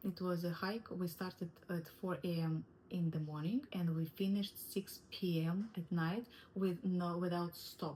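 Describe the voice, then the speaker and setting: With a non-native accent, a woman speaks fairly slowly in a fairly low pitch, somewhat breathy, with a dark, mellow tone and fairly even intonation. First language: not English. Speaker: wellness coach. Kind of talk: online course lesson. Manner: halting.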